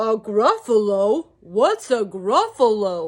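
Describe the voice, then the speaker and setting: A put-on character voice, female-sounding, is pitched fairly high for a woman. It moves at a very slow pace. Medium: read story.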